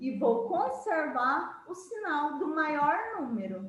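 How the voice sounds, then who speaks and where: With audible room echo, a woman speaks at a very slow pace, her pitch swinging very widely. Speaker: math teacher. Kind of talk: lecture.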